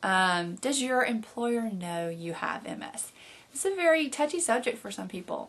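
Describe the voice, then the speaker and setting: A woman with a Southern US accent, her tone bright and sharp, at a moderate pace. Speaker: video blogger living with MS. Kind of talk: casual video blog Q&A. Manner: frequent fillers (um, uh).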